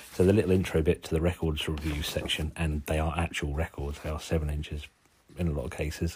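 Very fast and somewhat breathy, a man with a Suffolk accent speaks at a very deep, low pitch in a monotone, flat way. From Suffolk, England. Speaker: podcast host, zine maker. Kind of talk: casual solo zine review. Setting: lying on settee at home. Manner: informal, jokey, swears casually.

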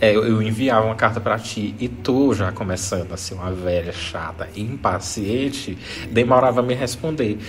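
A man talks at a moderate pace in a fairly low voice with ordinary pitch variation. Audible room echo and noticeable background noise come through. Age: 30s. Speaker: podcast host. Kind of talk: casual chat.

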